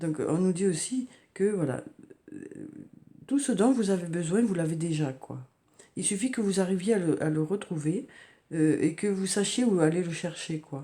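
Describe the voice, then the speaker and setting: Long, frequent pauses break up a woman's speech at a moderate pace. Her medium-pitched voice has a dark, mellow tone and lively intonation. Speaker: tarot card reader. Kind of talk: oracle card reading. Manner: halting, many fillers.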